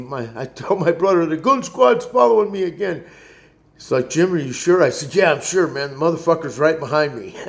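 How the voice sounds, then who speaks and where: A man's fairly high-pitched voice with lively intonation at a moderate pace. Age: 60s. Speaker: vlogger. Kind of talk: casual monologue rant. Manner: halting.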